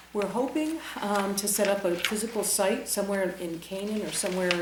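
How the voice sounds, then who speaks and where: Amid noticeable background noise and audible room echo, a woman talks at a fairly quick pace with fairly even intonation. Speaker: mental health services director. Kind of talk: presentation at town meeting. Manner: fast.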